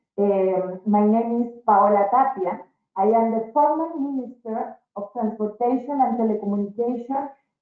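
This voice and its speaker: A woman talks at a moderate pace with a fairly high pitch and ordinary pitch variation. Music plays in the background. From Chile. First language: Spanish. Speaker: former transport minister. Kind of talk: presentation. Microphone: echo.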